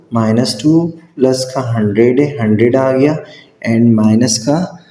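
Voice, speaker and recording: Audible room echo surrounds a man whose tone is dark and mellow. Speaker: math teacher. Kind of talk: tutorial. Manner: slow.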